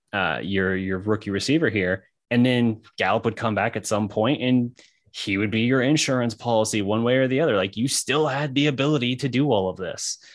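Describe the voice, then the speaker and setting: A man with an unremarkable speaking voice, ordinary pitch variation and a quiet background. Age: 30s. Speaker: sports podcast co-host. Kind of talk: casual chat.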